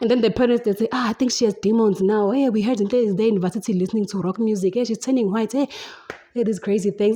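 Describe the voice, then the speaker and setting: A woman speaks at a fairly high pitch in an animated tone with lively intonation. Noticeable background noise can be heard. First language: Zulu. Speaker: podcast host. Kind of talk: casual chat. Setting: home, windows and door open.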